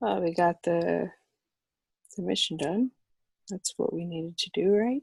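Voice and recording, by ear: In a put-on character voice, a woman speaks at a fairly low pitch with vocal fry and a slightly husky edge. Her pace is fairly slow, with ordinary pitch variation. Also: dry, close sound with no echo.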